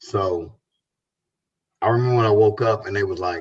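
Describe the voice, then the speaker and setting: Somewhat breathy and fairly low in pitch, a man speaks at a moderate pace. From South Los Angeles. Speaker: rapper. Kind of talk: casual interview.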